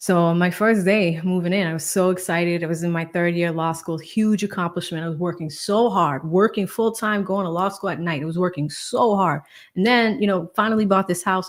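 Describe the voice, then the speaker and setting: A woman with an American accent and a medium pitch talks at a fairly quick pace with hardly any pauses and ordinary pitch variation, recorded very cleanly against a silent background. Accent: Boston accent, can switch on and off. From Boston, Massachusetts. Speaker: lawyer and legal commentary streamer. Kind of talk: casual livestream chat. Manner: casual, filler-heavy.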